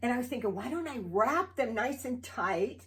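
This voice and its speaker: This woman has a plain, everyday voice at a fairly high pitch. Her pace is fairly quick. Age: 60s. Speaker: video chat show co-host. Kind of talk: casual chat.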